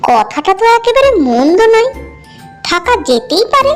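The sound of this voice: A woman speaks in a cartoonish character voice, extremely high in pitch, at a fairly slow pace. Clear music plays in the background.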